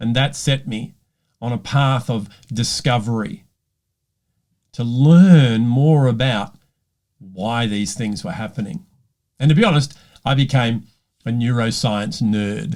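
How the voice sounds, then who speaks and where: A man with an Australian accent speaks at a medium pitch and a fairly slow pace. He leaves long, frequent pauses. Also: ordinary pitch variation. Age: 60s. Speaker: leadership coach. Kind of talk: personal talk to camera.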